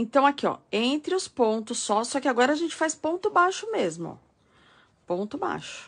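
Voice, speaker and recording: Against a quiet background, a woman speaks at a high pitch and a moderate pace with very wide pitch swings. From São Paulo state, Brazil (ABC Paulista); São Paulo state, Brazil. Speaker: crochet teacher. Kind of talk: live-stream tutorial. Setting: live stream.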